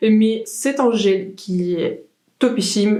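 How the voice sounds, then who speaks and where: A woman with a fairly high pitch and a dark, mellow tone speaks amid audible room echo. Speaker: beauty vlogger. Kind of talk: makeup tutorial.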